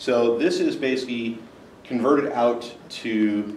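Light background noise mixes with audible room echo. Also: man. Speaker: conference presenter. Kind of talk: technical talk. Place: meeting room. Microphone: camera far.

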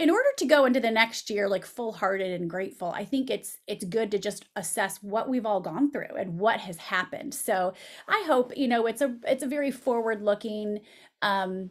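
A woman speaks at an average speed with normal pitch movement, and the background is quiet. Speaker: journalist, podcast host. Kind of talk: interview answer. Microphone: studio mic.

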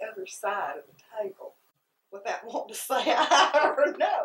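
In a high pitch, a woman speaks with a husky, rough edge.

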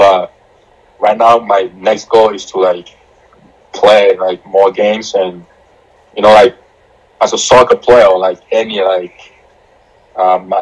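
A fairly low male voice in a monotone, flat intonation at a fairly slow pace. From Ghana (Accra). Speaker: professional soccer goalkeeper. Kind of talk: interview. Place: home room. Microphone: video call.

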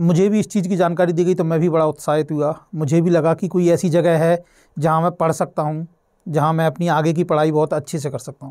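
A man's fairly high but dark, mellow voice, monotone and flat, at a moderate pace against a quiet background. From Madhya Pradesh, Shivpuri district (rural); Madhya Pradesh. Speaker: author and mentor, motivational speaker; motivational speaker. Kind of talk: motivational talk. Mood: calm, earnest, motivational. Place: studio. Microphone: lapel.

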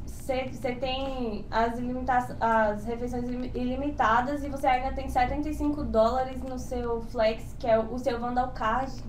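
This woman has a high-pitched voice with a Brazilian accent. She speaks at a fairly slow pace with monotone, flat intonation. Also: hardly any pauses. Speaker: exchange student. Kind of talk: informational webinar.

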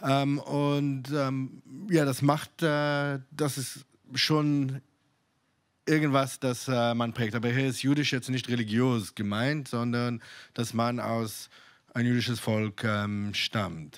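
A man with an Israeli accent at a very slow pace, ordinary pitch variation, over a quiet background. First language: Hebrew (speaking German). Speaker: synagogue community organizer; guest. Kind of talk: panel discussion. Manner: halting, many fillers. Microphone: handheld.

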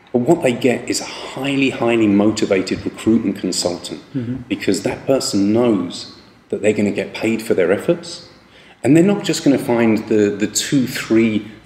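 A man is speaking at a moderate pace. Room echo is audible. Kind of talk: advice talk to camera. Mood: calm, earnest. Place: office. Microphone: phone near.

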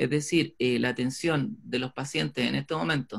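Somewhat breathy, a man talks at a fairly quick pace with ordinary pitch variation against a quiet background. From Chile. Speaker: orthodontist, webinar host; webinar host. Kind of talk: announcements and introduction. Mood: serious, warm at end. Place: home room. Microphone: webcam.

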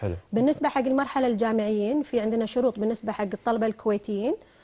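Her voice is fairly high-pitched with a dark, mellow tone, coming from a woman. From Kuwait. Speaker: research institute official; guest. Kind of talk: TV interview. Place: studio. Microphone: lapel.

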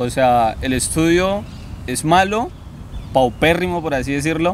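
Someone with a Colombian accent speaks at a fairly slow pace over light background noise. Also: man, dry sound with no echo. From Colombia, Meta department. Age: 20s. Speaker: university student. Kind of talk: interview. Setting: outdoors in a park. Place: forest.

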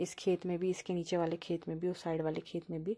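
Against a quiet background, a woman speaks at a moderate pace in a dark, mellow tone with a medium pitch and monotone, flat intonation. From Uttarakhand, Pauri Garhwal; Uttarakhand. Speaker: vlogger. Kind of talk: travel vlog narration. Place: open country. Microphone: phone near.

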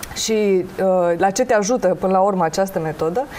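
Light background noise sits behind a woman whose pitch varies in an ordinary way. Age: 30s. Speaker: tarot and face-reading specialist; guest. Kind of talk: TV talk show interview. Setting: TV studio. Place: studio. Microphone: lapel.

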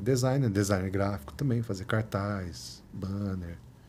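With light background noise behind him, a man speaks at a fairly low pitch in a dark, mellow, somewhat breathy tone with lively intonation. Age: 40s. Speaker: photographer and researcher; podcast guest. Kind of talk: casual interview. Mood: relaxed, reflective. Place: studio. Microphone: studio mic.

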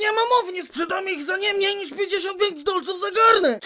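At a fairly quick pace and an extremely high pitch, the speaker performs a put-on character voice over clear background noise. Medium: fan dub.

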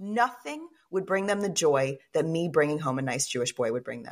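A woman with an American accent talks at a very fast pace, her pitch swinging very widely. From Texas, Fort Worth. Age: 40s. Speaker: author and podcaster. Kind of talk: casual interview.

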